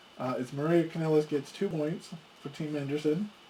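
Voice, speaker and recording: A fairly high male voice at a moderate pace, with fairly even intonation and noticeable background noise. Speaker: board game video host. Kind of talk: tabletop game playthrough commentary.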